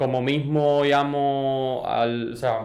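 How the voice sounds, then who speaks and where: A man with a Cuban accent talks in a flat monotone, with audible room echo and noticeable background noise. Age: young. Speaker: entrepreneur, industrial engineer. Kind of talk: podcast interview. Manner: hesitant, many fillers.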